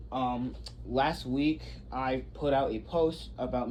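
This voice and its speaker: A man mumbles amid audible room echo. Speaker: YouTuber, ship history channel. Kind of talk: casual vlog tour. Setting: on board a ship, walking tour. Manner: mumbling.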